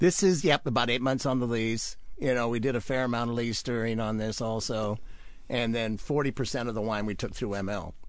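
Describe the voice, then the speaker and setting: A medium-pitched man with a Pacific Northwest accent, in a room with audible echo. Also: ordinary pitch variation, moderate pace. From Washington State (Wenatchee). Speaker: winemaker. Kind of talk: radio interview.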